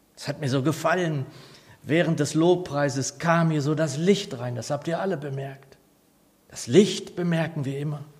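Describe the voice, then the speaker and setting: Audible room echo surrounds a man speaking at a moderate pace. His pitch is fairly high and varies in an ordinary way. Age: 60s. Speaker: pastor. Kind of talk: sermon.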